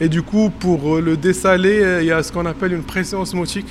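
A man speaks at a high pitch and a fairly slow pace. His intonation stays fairly even over noticeable background noise. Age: 30s. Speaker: postdoctoral researcher. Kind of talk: on-site reportage explanation. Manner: hesitant, many fillers.

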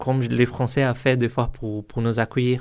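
The recording of this medium-pitched man is very clean, with a silent background. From Brazil, São Paulo. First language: Portuguese (speaking French). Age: 30s. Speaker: software test engineer and language student. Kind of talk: interview testimony. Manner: halting, many hesitations.

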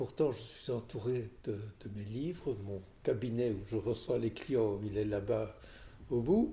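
Speaking at a very slow pace, a man uses a medium pitch with ordinary pitch variation, and his voice is somewhat breathy with a dark, mellow tone. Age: 80s+. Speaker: lawyer. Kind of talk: interview. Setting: at home.

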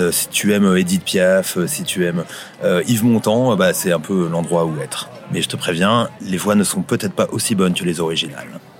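Background noise is noticeable behind a man with a very deep, low pitch. His pace is moderate, and his pitch variation ordinary. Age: 40s. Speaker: local guide on a city walk. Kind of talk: casual guided walk commentary.

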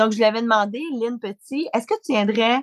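With an unremarkable speaking voice, a woman talks fairly quickly at a fairly high pitch with ordinary variation, in a dry, close, very clean recording with a silent background. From Quebec. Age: 40s. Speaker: founder of a business mothers' network. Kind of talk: interview.

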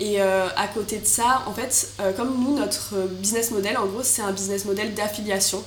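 Over noticeable background noise and audible room echo, a woman speaks at a medium pitch and a moderate pace with fairly even intonation. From Marseille, southern France. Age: 20s. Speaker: business student and startup founder. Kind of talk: interview.

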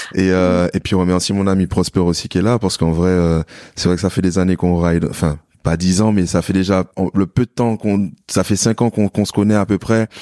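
Very deep and low, a man's voice comes through a very clean recording with a silent background, dry and close with no echo, dark and mellow in tone, at a fairly quick pace with very even loudness and fairly even intonation. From Martinique. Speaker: fitness coach. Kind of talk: casual chat.

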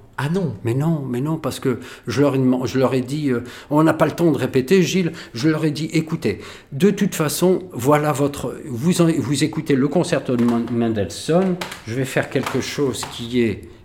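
This somewhat breathy voice moves at a fairly slow pace, with pitch that varies in an ordinary way. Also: man, fairly high pitch for a man. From Algeria (pied-noir family). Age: 50s. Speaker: violinist. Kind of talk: casual storytelling interview. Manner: animated.

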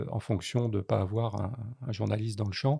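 On a very clean recording with a silent background, a man speaks in a fairly low, dark, mellow voice with fairly even intonation. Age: 60s. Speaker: war photographer. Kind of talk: interview.

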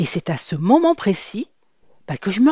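A woman speaks with a lively, bouncing intonation. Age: 50s. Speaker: podcast host, hair coach. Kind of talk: personal storytelling monologue. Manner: conversational, with hesitations.

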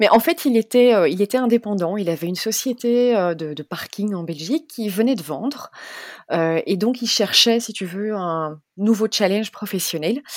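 With an ordinary speaking voice, a woman of medium pitch talks at a moderate pace with lively intonation, and the sound is dry and close with no echo. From Belgium. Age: 40s. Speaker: travel blogger. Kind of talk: interview.

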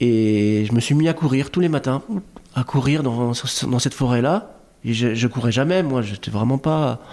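A dark, mellow tone comes at a fairly slow pace, with loudness held very even throughout. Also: man, medium pitch for a man, ordinary pitch variation. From Lebanese heritage. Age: 40s. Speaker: digital artist. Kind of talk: casual chat. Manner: slow, reflective; halting with repetitions.

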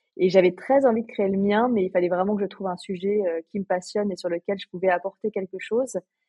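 A woman with a plain, everyday voice speaks at a medium pitch and a fairly quick pace, her intonation fairly even. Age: 40s. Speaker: portrait photographer and podcaster. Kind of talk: interview conversation.

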